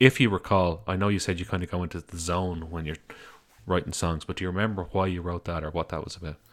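A man with an Irish accent talks at a very fast pace in a very deep, low pitch with fairly even intonation. The recording is very clean, with a silent background. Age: 30s. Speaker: podcast host. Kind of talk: interview.

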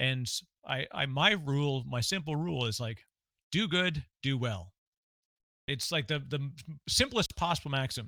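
A man speaks at a moderate pace in a bright, sharp tone, with lively intonation. Long, frequent pauses break up his speech on a very clean recording with a silent background. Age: 40s. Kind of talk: casual interview chat.

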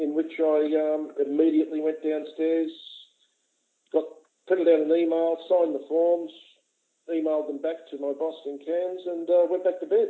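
In an Australian accent, a man with a fairly high voice speaks in a monotone, flat way, leaving long, frequent pauses. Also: moderate pace. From Sydney, Australia. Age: 60s. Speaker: retired airline worker and amputee advocate. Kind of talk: interview. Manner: halting, many fillers.

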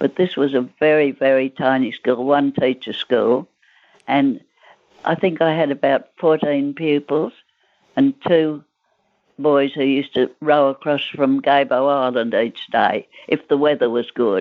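With an Australian accent, a woman speaks in a very deep, low pitch at a fairly slow pace, with fairly even intonation and very even loudness. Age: 80s+. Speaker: centenarian grandmother, former teacher. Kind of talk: interview, life story.

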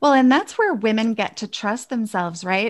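A woman with a plain, everyday voice speaks at a fairly high pitch with ordinary pitch variation, recorded very cleanly against a silent background. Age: 50s. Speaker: women's empowerment coach. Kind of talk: interview.

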